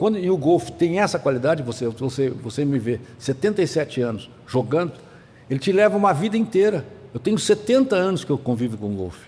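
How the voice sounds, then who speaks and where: A somewhat breathy man's voice, fairly high in pitch with very wide pitch swings, at a fairly quick pace. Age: 70s. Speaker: veteran golf club member, former systems analyst and financier. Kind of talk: podcast interview. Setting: studio in a golf club restaurant.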